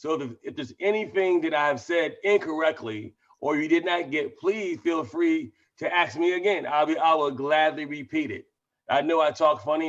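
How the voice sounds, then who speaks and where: A man talks with a fairly high pitch and ordinary pitch variation. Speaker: network marketing promoter. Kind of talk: webinar sales pitch. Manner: fast; runs words together.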